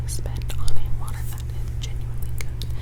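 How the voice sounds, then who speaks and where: Noticeable background noise accompanies whispering delivered at a moderate pace. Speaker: college student. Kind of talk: ASMR ramble. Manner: whispered, clicky.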